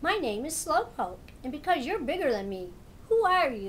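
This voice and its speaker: Over clear background noise, a woman puts on a high-pitched character voice at a moderate pace, with very wide pitch swings. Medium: read story.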